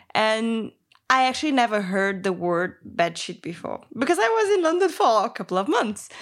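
This speaker has a Portuguese accent and very wide pitch swings. The pace is moderate. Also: woman, fairly high pitch for a woman. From Brazil. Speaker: interview guest, one half of a couple. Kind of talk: casual conversational interview.

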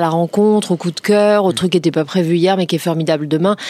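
A woman's normal speaking voice at a fairly quick pace, medium in pitch with ordinary pitch variation. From Paris region, France (Créteil). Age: 40s. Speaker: entrepreneur. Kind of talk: interview.

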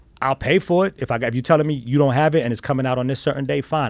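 A man's very fast, medium-pitched speech in a New York accent. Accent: New York (Bronx). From New York, South Bronx. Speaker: sneaker collector. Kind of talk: casual chat. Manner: animated.

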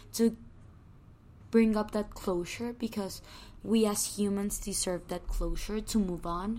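Her pace is very slow and her accent is Spanish. This woman has a fairly high pitch and a dark, mellow tone. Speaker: podcast host. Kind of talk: scripted intro; casual chat. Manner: relaxing.

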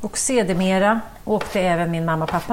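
The voice moves at a moderate pace with ordinary pitch variation, set against audible room echo and noticeable background noise. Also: woman. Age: middle-aged. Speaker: cookbook author and TV chef. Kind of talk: casual chat while cooking.

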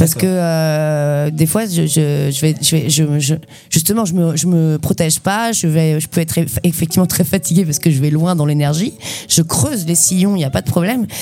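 Against noticeable background noise, a woman with a very deep, low pitch speaks at a moderate pace with ordinary pitch variation. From western France, Loire-Atlantique. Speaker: slam poet and performer. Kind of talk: poetry performance; casual interview.

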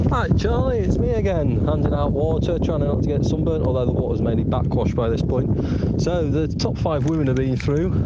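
A man talks at a fairly quick clip, with hardly any pauses and very even loudness. His fairly low voice swings very widely in pitch over noticeable background noise. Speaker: roaming reporter. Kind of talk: live race report. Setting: outdoors on a hill.

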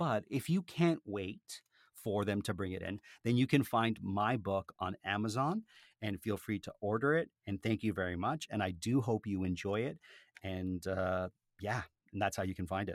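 A man with a fairly low pitch speaks in a normal speaking voice at a moderate pace, with ordinary pitch variation. The recording is very clean, with a silent background and a dry, close sound with no echo. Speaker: podcaster and author. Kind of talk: casual interview chat.

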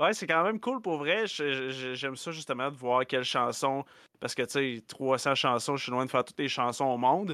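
A man in a Quebec accent speaks at a moderate pace and medium pitch, with ordinary pitch variation. His tone is bright and sharp on a very clean recording with a silent background. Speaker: guitarist and music streamer. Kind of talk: casual chat.

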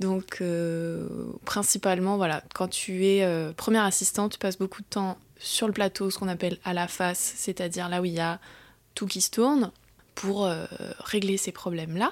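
A woman speaks at medium pitch and a moderate pace, with fairly even intonation and an ordinary speaking voice. The recording is very clean, with a silent background. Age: 30s. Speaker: film boom operator. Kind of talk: casual chat.

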